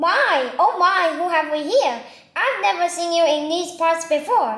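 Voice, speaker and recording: A woman does a put-on character voice, squeaky and extremely high in pitch. Her pitch swings very widely at a moderate pace. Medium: read story. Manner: grumbling.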